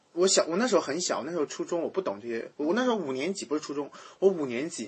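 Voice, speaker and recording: A man speaks at a very fast pace, his voice fairly high-pitched and his intonation lively. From rural China. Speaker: podcast host. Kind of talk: casual chat.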